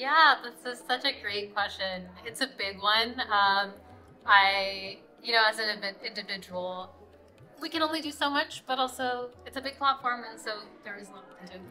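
A woman with an American accent talks at a moderate pace in a fairly high pitch. Her pitch variation is ordinary, her loudness swings widely, and light background noise sits behind her. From rural Kentucky, US. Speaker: journalist; interviewee. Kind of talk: interview. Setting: live event. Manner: hesitant, many fillers.

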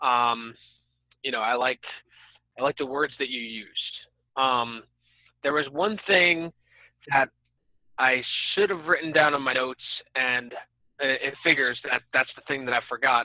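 The speaker keeps a moderate pace with long, frequent pauses, in a dry sound with no echo over a quiet background. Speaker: door-to-door solar salesperson. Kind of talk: casual chat. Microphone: video call.

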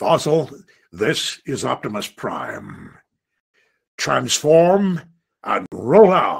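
A man in a put-on character voice speaks at a very slow pace, with long, frequent pauses. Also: fairly high pitch for a man. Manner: heroic.

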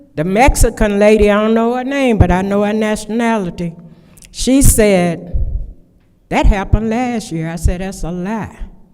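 A woman with a dark, mellow tone and medium pitch talks at a moderate pace, her loudness swinging widely and her pitch varying in an ordinary way, with audible room echo. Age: 70s. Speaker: public commenter. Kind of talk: public comment at council meeting. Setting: city council meeting. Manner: halting.

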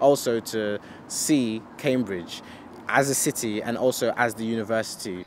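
Pitch variation is ordinary here. The sound is dry with no echo, with light background noise. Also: man. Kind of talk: interview answer. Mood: calm, positive. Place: street.

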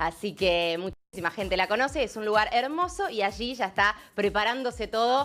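Over faint music in the background, a woman talks at a moderate pace with hardly any pauses. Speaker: TV field reporter. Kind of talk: live remote report. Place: waterside. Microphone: handheld.

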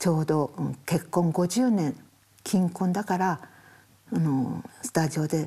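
A woman's fairly low, somewhat breathy voice with a dark, mellow tone and lively intonation. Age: 80s+. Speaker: portrait photographer. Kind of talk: interview answer. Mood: tender, reflective about late husband.

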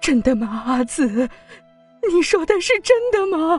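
In a put-on character voice at an extremely high pitch with very wide pitch swings, the speaker goes at a fairly slow pace over faint music in the background. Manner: trembling, shaken, disbelieving.

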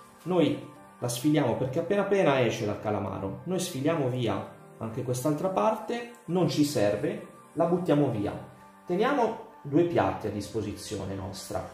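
Faint music plays in the background as a man speaks at a moderate pace, with audible room echo. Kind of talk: cooking tutorial. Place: kitchen. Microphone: camera far.

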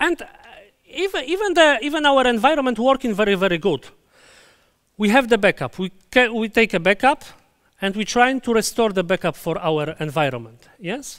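A man talks at a moderate pace with long, frequent pauses against a quiet background. His pitch is high and swings very widely. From Poland. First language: Polish. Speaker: database conference speaker; conference presenter. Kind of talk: conference talk; technical lecture. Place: hall.

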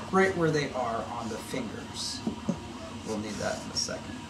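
A man talking at a fairly slow pace over loud background noise. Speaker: maker educator. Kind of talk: tutorial. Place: workshop.

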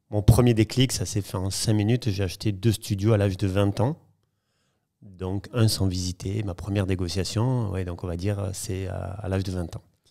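A man speaks at a moderate pace in a fairly low, dark and mellow voice, keeping his intonation fairly even against a quiet background. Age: 40s. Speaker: property dealer; podcast guest. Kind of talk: interview storytelling. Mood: relaxed, storytelling. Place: home room. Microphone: studio mic.

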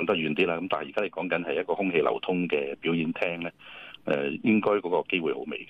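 The recording is dry, with no echo. A man rushes through his words very fast. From Hong Kong. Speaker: respiratory medicine professor. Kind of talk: radio interview; interview answer. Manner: halting. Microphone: phone line.

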